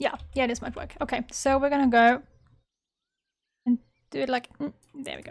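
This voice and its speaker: With a non-native accent, a woman speaks at a high pitch and a moderate pace in monotone, flat intonation, with long, frequent pauses and big swings in loudness. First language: not English. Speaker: gaming YouTuber. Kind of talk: casual gameplay commentary. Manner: casual, thinking aloud.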